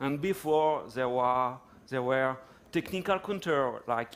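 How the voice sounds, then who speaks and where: In a French accent, this man talks with a fairly high pitch. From France. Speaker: tech company executive. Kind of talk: conference talk. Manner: halting, many fillers.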